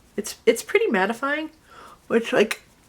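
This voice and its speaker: Noticeable background noise runs behind a voice with an American accent at a middling speed. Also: woman. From Connecticut, then US South. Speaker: beauty vlogger. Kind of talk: makeup tutorial vlog. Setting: home video, tripod. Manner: chatty, casual.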